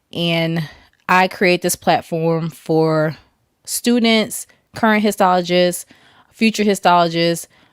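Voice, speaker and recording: Very slow with long, frequent pauses, a woman speaks at a fairly low pitch and very even loudness in a very clean, dry, close recording with no echo and a silent background. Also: fairly even intonation. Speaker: histotechnician and YouTube host. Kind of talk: casual livestream chat.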